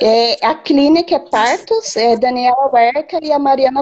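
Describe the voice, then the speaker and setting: Here is a woman with a high pitch. Her intonation is lively. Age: 30s. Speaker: pregnant woman asking a question. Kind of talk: live Q&A conversation. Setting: video call on a live stream.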